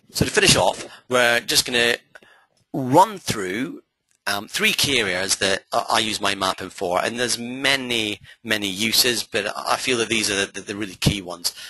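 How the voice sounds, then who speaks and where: With a medium pitch and ordinary pitch variation, a man speaks in a bright, sharp tone. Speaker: memory coach, trainer. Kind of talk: webinar masterclass lecture. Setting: live webinar broadcast from a hall. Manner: fast.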